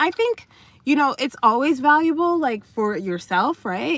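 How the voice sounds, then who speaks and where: A woman's voice with very wide pitch swings over a quiet background. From United States (Haitian family). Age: adult, college graduate. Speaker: dating coach and livestreamer. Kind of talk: casual livestream chat. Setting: in a parked car. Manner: halting, many fillers.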